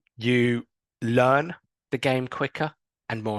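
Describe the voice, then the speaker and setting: A man with an English accent, in a dry, close sound with no echo. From England. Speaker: sports psychologist. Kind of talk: recorded coaching talk. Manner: hesitant with fillers.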